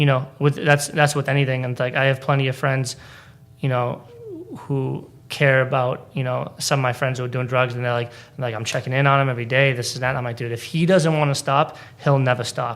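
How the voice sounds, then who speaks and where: With a Boston accent, a man talks at a fairly quick pace and medium pitch in a monotone, flat delivery. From Boston area (Braintree), Polish immigrant parents. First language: Polish. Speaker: stand-up comedian. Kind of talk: casual interview chat. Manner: halting, lots of fillers and repeats.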